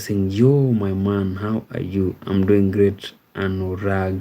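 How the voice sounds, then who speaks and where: A man with a Kenyan accent, a fairly low pitch and a dark, mellow tone, speaking at a very slow pace with monotone, flat intonation. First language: Ekegusii. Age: 30s. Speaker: live streamer. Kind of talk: live stream chat reading. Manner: hesitant, many fillers.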